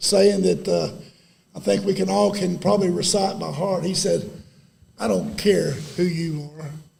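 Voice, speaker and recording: With an East Texas accent, a man speaks at a fairly slow pace, leaving long, frequent pauses. The room echo is audible. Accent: East Texas Southern US. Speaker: former high school football player. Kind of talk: ceremony speech. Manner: halting.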